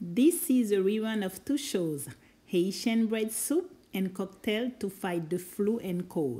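A woman's somewhat breathy voice, dark and mellow in tone, at a very slow pace. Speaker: cooking show host. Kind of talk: casual vlog intro. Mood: warm, friendly. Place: car. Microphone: phone near.

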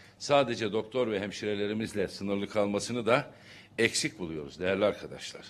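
The pace is moderate as a man speaks. Pitch rises and falls in an ordinary way. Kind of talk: press conference statement. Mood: critical, formal. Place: hall.

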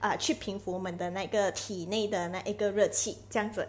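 The woman's voice has a slightly breathy quality. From Malaysia. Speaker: live streamer selling health products; product promoter vlogger. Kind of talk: live stream chat with product promotion. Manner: chatty, many filler particles. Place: home room. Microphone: earbuds.

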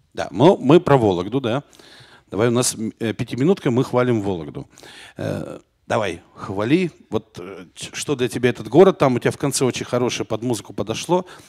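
Vocal fry and very wide pitch swings at a fairly quick pace, broken by long, frequent pauses, over a quiet background. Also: man. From Arkhangelsk region, northern Russia. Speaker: talk show host. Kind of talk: live talk show. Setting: studio with live audience. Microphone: handheld.

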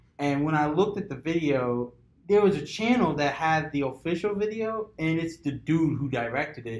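Room echo is audible as a man talks at a moderate pace. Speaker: podcast host. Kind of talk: casual group discussion. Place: meeting room.

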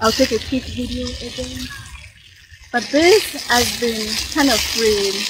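A woman speaks at a fairly slow pace, with long, frequent pauses. The sound is dry with no echo, and the background noise is loud. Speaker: vlogger. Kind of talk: casual vlog narration. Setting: outdoors. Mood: relaxed, content. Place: street. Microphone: phone near.

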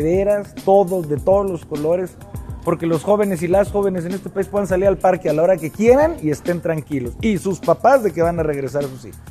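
A high-pitched man at a fairly quick pace, with faint music in the background. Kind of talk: interview answer. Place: hall. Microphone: lapel.

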